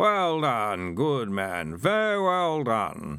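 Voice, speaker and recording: A man with a medium-pitched voice puts on a character voice, speaking at a very slow pace with very wide pitch swings. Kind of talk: polite, old-fashioned. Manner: sleepy.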